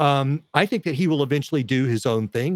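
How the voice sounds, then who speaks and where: A man speaks in a plain, everyday voice. His pitch is medium, with ordinary variation. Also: dry, close sound with no echo. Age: 60s. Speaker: media host and citizen journalist. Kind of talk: casual interview chat. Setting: home studio in garage.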